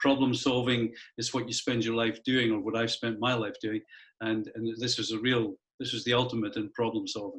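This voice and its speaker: A man with a Scottish accent talks at a fairly quick pace. His medium-pitched voice stays monotone and flat. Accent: Scottish, still noticeable. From Scotland, Edinburgh. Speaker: school head. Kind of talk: interview. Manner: halting.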